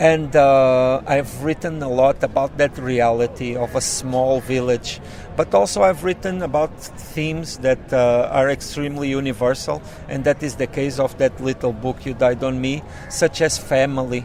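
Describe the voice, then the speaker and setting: A man with a Portuguese accent speaks at a medium pitch and moderate pace, with fairly even intonation over noticeable background noise. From southern Portugal, rural. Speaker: author and poet. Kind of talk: interview. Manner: halting, many fillers.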